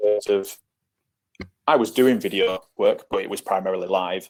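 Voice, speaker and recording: This man talks at a moderate pace in a northern English accent. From northern England, near Leeds. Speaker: football scout. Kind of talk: podcast interview.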